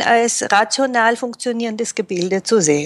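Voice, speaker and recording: At a fairly slow pace, a woman speaks in a plain, everyday voice, fairly high in pitch with ordinary variation. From Japan and Germany, raised bilingual. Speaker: Japanese-German interpreter and translator. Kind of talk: interview.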